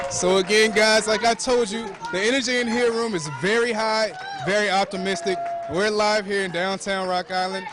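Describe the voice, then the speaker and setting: Over music in the background, a man with a high pitch speaks in an upbeat tone at a moderate pace, with ordinary pitch variation. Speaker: TV news reporter. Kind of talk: TV news reporter reel, live field reporting and interviews. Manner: upbeat, conversational live election-night reporting.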